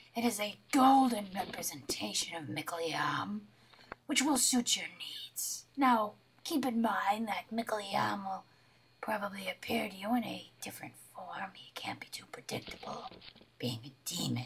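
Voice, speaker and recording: A put-on character voice, raspy and fairly high in pitch, at a moderate pace. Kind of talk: amateur comic sketch acting. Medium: comedy sketch. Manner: knowing, casual, a bit condescending.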